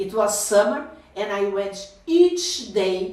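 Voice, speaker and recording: Noticeable background noise and audible room echo surround a woman speaking at medium pitch with lively intonation. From southern Brazil, German-settled community. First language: Portuguese. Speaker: motivational speaker. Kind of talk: personal storytelling to camera. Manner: halting, with hesitations and repetitions.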